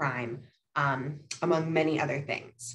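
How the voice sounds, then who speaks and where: A woman's very deep, low voice with music in the background. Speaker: policy researcher presenting a report. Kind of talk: slide presentation. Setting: video call. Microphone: video call.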